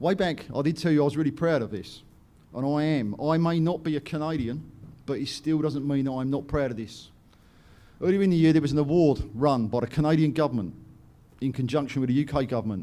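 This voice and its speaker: With an English accent, a man speaks at a very fast pace. His fairly high voice has a dark, mellow tone and ordinary pitch variation. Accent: English accent noted as funny. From England, London. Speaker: company director and presenter. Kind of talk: conference presentation. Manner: animated.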